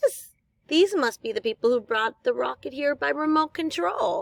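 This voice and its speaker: In a put-on character voice, a woman speaks at a high pitch. Her pace is moderate. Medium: read story.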